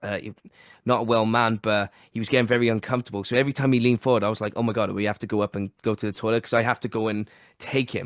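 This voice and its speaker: Over a quiet background, a man with a medium-pitched voice talks very fast in an animated tone, the sound dry and close with no echo. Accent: Welsh. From South Wales. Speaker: podcast host. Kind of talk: casual chat.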